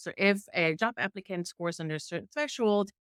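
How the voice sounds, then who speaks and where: A woman of medium pitch speaks with lively intonation in a dry, close sound with no echo, very clean and with a silent background. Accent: strong German. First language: German. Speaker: journalist testing AI hiring tools. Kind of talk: interview conversation. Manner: hesitant with repetitions.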